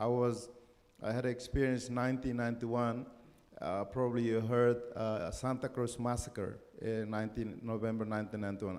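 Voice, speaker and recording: A man's monotone, flat delivery at medium pitch and moderate pace, with audible room echo. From East Timor. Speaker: permaculturist and keynote speaker. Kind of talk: keynote talk. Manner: halting.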